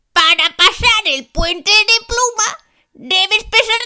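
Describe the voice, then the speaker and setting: A soft-spoken, female-sounding put-on character voice with an extremely high pitch moves at a fairly slow pace. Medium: read story.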